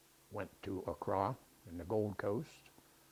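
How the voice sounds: A man speaks at a low pitch with vocal fry, a slightly husky edge, and a slightly mellow tone.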